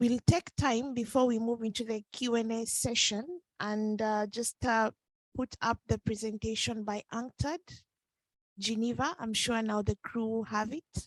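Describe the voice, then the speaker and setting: A woman with a non-native accent talks slowly at a fairly high pitch, her voice dry and close with no echo. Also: fairly even intonation. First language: not English. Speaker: meeting moderator. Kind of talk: moderating a meeting.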